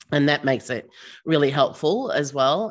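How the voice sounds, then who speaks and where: A woman with an Australian accent speaks at a moderate pace, her pitch very deep and low and her intonation lively. The recording is very clean, with a silent background. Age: 50s. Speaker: startup founder and CEO. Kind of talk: casual interview chat.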